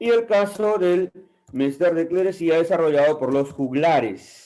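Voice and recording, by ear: A man at a fairly high pitch, with a dark, mellow tone, lively intonation and a fairly slow pace.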